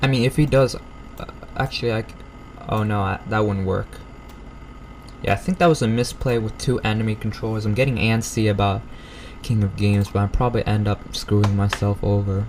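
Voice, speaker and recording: Over noticeable background noise, a man speaks at a fairly quick pace with fairly even intonation, broken by long, frequent pauses. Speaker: gaming YouTuber. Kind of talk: gameplay commentary. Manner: halting.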